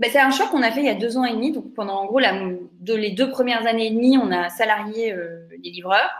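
The speech moves at a fairly quick pace with hardly any pauses and ordinary pitch variation. Audible room echo surrounds it. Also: woman, fairly high pitch for a woman. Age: 30s. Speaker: startup founder. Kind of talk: interview.

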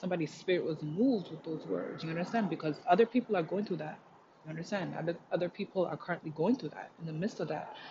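Talking at a very fast pace, a woman sounds animated, with fairly low pitch and ordinary pitch variation. Her loudness swings a lot, and noticeable background noise is present. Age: 30s. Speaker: spiritual podcaster. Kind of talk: motivational solo talk. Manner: animated, frequent laughter.

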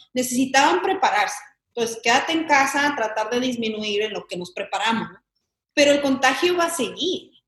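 This woman's voice is high-pitched, with lively intonation. She talks at a fairly quick pace. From Mexican-American, grew up in Chicago. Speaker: actress. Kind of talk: casual interview chat.

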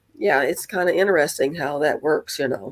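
A woman with a Southern US accent. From US South, northern Mississippi. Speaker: realtor. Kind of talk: casual interview.

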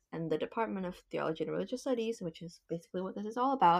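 A woman speaks with an Indonesian accent. Her pitch sits in the medium range. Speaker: university student podcast host. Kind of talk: casual chat. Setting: video call. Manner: animated.

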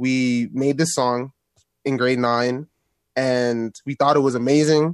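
With a Toronto accent, a man speaks at a medium pitch with fairly even intonation. The background is quiet, and the sound is dry and close with no echo. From Toronto, Canada. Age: 20s. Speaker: rapper and producer. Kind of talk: interview.

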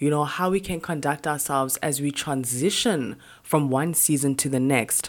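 A woman's very deep, low pitch with ordinary pitch variation. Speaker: podcast host. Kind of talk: solo motivational talk.

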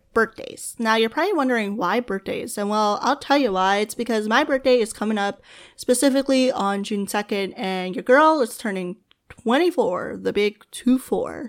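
At a moderate pace, a woman speaks in a normal speaking voice, fairly high in pitch with ordinary pitch variation. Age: 20s. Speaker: podcast host. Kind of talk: casual solo monologue. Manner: laughing often.

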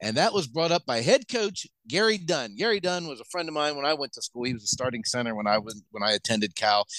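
Over a quiet background, a man with an American accent talks at a very fast pace with hardly any pauses, a bright, sharp tone and very wide pitch swings, in a dry, close sound with no echo. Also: fairly high pitch for a man. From Pennsylvania (Washington). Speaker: sports podcast co-host. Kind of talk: casual chat.

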